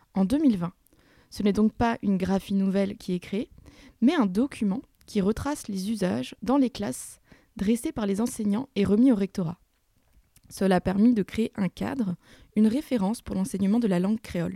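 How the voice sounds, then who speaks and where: A woman's somewhat breathy voice has a dark, mellow tone, broken by long, frequent pauses. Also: medium pitch for a woman, ordinary pitch variation, moderate pace, dry, close sound with no echo, very clean recording, silent background. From Burgundy, France. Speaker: podcast host. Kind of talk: scripted narration; interview.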